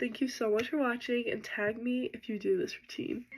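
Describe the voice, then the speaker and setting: A woman speaks at a moderate pace. Her voice is soft-spoken. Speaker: hair tutorial creator. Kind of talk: tutorial.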